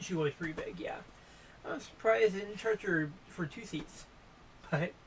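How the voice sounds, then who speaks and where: Against noticeable background noise, a woman with a medium pitch talks at a moderate pace with lively intonation. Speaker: travel vlogger and historian. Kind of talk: casual reaction chat.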